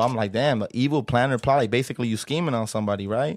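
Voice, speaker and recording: A man talks with an American accent, the sound dry and close with no echo. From South Central Los Angeles. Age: 20s. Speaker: rapper. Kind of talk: casual chat. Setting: studio.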